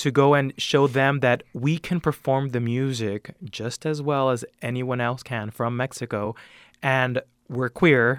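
Close and dry with no echo, a man's plain, everyday voice in an American accent comes at a fairly slow pace, medium in pitch and fairly even in intonation. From El Sereno, Los Angeles. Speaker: mariachi bandleader. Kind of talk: interview.

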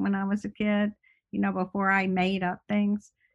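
Against a quiet background, the somewhat breathy voice has a dry, close sound with no echo. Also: woman. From US South, Birmingham, Alabama. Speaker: essayist. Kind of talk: interview.

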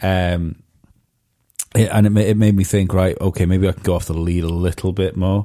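A man speaks at a moderate pace with a very deep, low pitch and a dark, mellow tone. His intonation is flat and monotone, on a very clean recording with a silent background. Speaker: podcast host and stand-up comedian. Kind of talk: casual chat.

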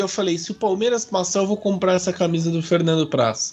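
A man talks with music playing in the background. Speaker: football podcast host. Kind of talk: casual chat. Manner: animated.

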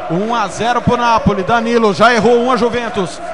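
A man speaks at an extremely high pitch over noticeable background noise. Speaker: radio match narrator. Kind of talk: live radio football commentary, penalty shootout. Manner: dramatic, rising call at each kick, drawn-out goal shouts.

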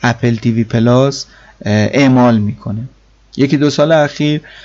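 Medium pitch from a man's voice. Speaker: tech podcast host. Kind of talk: solo podcast monologue.

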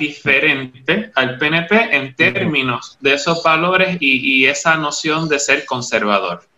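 A man's voice, with ordinary variation in pitch, is heard against noticeable background noise. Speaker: panelist. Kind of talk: interview.

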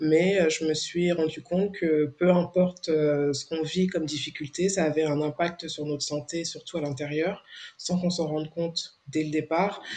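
At a fairly slow pace, a woman speaks with very deep, low pitch and monotone, flat intonation. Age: 40s. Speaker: founder of a women's support association. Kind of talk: interview. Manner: hesitant, many fillers.

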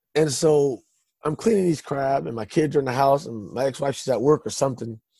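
At a fairly quick pace, a man speaks with a Californian accent. His medium pitch, dark, mellow tone and ordinary pitch variation round out the voice. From Stockton, California. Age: 30s. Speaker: testimony guest. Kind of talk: testimony. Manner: halting.

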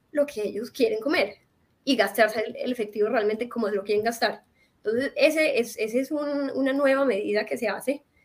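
At a fairly quick pace, a woman talks in an ordinary speaking voice. Her pitch is fairly high, with ordinary pitch variation. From Colombia, Medellín. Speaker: NGO worker. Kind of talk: interview.

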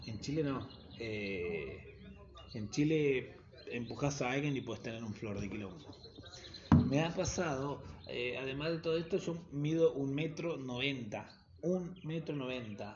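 A man's fairly high voice with lively intonation at a fairly slow pace, set against noticeable background noise. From Argentina, Buenos Aires south zone (Quilmes). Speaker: backpacker podcaster. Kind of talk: casual monologue. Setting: solo home recording.

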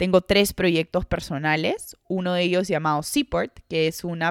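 A woman uses an ordinary speaking voice, fairly low in pitch, at a fairly slow pace. The recording is very clean with a silent background and a dry, close sound with no echo. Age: 20s. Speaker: podcast host, psychologist and sports mentor. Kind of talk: solo podcast monologue.

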